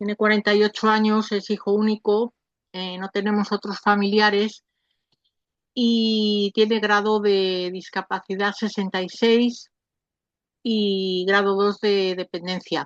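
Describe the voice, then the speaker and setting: In a dry, close sound with no echo, a woman speaks at a very slow pace with a medium pitch and monotone, flat intonation. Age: 70s. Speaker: parent of adult son with mental illness, audience participant. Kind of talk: question at online Q&A. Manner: halting.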